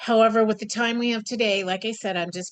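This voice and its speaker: A woman's voice shows ordinary pitch variation, with a quiet background behind it. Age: 60s. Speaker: skincare specialist. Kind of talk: webinar talk. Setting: video call. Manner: halting.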